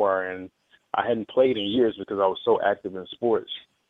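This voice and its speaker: In a Southern US accent, a man speaks fairly quickly. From Mississippi, small town. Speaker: drummer. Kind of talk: radio interview.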